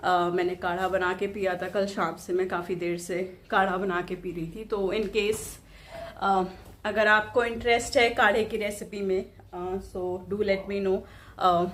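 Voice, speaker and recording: Audible room echo surrounds a woman speaking at a fairly slow pace. Her medium-pitched voice has monotone, flat intonation. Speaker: vlogger. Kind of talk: casual vlog talk. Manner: hesitant, many fillers.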